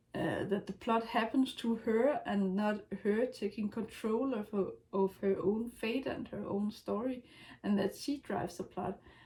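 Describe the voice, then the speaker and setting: At a fairly slow pace, a woman talks with fairly high pitch and ordinary pitch variation. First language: not English. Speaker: writer vlogger. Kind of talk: casual talk to camera. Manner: hesitant, many fillers.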